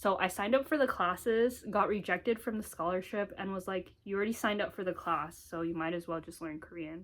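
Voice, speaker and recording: A woman with an American accent talks at a fairly quick pace with ordinary pitch variation. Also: medium pitch for a woman. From US. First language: Mandarin Chinese. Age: 20s. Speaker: vlogger. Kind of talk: casual talk to camera. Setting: home office.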